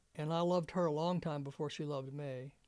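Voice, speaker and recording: This man speaks with an Alabama accent. His pitch sits fairly high. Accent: Southern US (Alabama). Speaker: war veteran. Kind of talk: oral history interview. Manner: halting.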